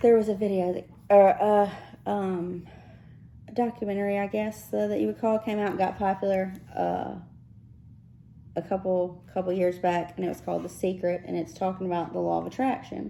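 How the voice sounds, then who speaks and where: In a Mississippi accent, a woman with a dark, mellow tone talks at a fairly quick pace, broken by long, frequent pauses. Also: medium pitch for a woman, ordinary pitch variation. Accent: Southern US (Mississippi). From South Texas, raised in Mississippi. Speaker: podcast co-host. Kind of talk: casual chat.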